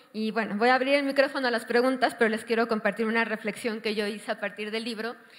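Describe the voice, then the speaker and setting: With hardly any pauses, a woman rattles along at a very fast pace in a fairly high, monotone voice with flat intonation. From Mexico City. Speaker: panel moderator. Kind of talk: panel discussion moderation.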